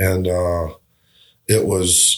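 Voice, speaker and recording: In a Southern US accent, a man speaks with a very deep, low pitch. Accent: Southern US (Georgia). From US South, southwest Georgia. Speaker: restaurateur and musician. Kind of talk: casual interview. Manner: halting, many fillers and repetitions.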